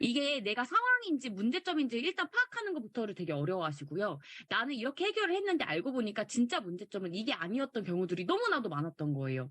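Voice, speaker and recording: The speech comes at a very fast pace with hardly any pauses, over noticeable background noise. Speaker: online course instructor. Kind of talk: lecture.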